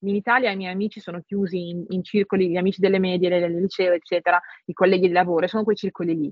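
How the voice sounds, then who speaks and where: The speaker talks at a very fast pace. The intonation is monotone and flat. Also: woman, medium pitch for a woman. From northern Italy, Milan province. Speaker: translator and tech industry manager. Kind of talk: casual interview conversation. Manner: halting, many repetitions and fillers.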